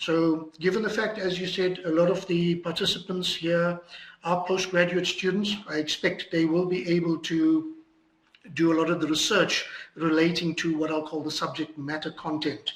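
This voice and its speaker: A man's high-pitched, monotone voice, flat in intonation, with audible room echo. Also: moderate pace. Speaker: lecturer. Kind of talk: lecture.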